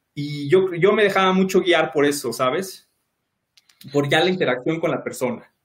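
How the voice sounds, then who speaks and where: The pace is moderate. Pitch variation is ordinary. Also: man, high pitch for a man. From Mexico City (Iztapalapa). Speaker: electronics engineer. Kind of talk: casual interview.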